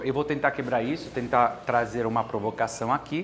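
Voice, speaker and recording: A man speaks with an Italian accent and fairly even intonation. Noticeable background noise is present. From Italy (Bari). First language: Italian (speaking Portuguese). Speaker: business consultant and course instructor. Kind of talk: lecture. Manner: halting.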